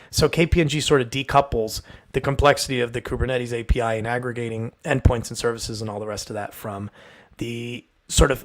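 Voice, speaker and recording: A man with a medium pitch and ordinary pitch variation talks fairly quickly in a very clean recording with a silent background. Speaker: software engineer, livestream host. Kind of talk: technical livestream discussion. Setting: live video stream. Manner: fast.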